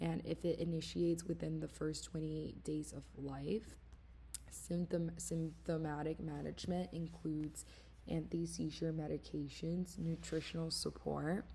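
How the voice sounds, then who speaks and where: With a non-native accent, a woman speaks at a moderate pace. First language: not English. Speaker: student. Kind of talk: class presentation. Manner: halting.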